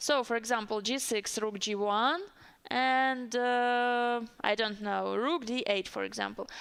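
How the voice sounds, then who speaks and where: Speaking with a strong Russian accent, a woman uses a fairly high pitch and fairly even intonation. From Siberia, Russia. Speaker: chess commentator. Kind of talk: live commentary. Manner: hesitant, with fillers.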